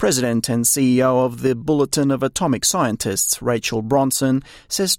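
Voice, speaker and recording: Moderately paced speech from a man at a medium pitch, with an Australian accent, in a very clean recording with a silent background and a dry, close sound with no echo. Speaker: news reporter. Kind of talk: broadcast news reading, scripted and polished. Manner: formal, measured, steady and neutral newsreader delivery.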